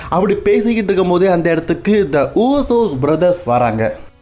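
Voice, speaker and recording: Over music in the background, a man speaks in a high pitch with lively intonation. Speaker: wrestling news narrator and Tamil voice-over translator. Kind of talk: wrestling news narration with Tamil voice-over of a promo.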